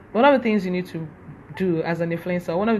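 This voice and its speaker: A fairly low, somewhat breathy female voice. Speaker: social media influencer. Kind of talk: live stream talk. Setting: Instagram live session. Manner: fast.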